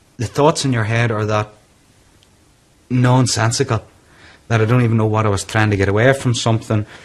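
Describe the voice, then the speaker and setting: Here a man talks at a very fast pace in a Northern Irish accent. His intonation is monotone and flat. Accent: Northern Irish (Tyrone). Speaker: businessman with depression. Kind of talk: interview testimony.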